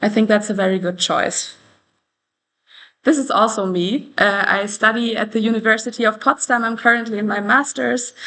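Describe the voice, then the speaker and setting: A woman talks with a German accent at a moderate pace. Her voice is fairly high-pitched and bright and sharp in tone, with fairly even intonation. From Germany (Brandenburg). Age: 20s. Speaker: candidate for a student organization post. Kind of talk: presentation.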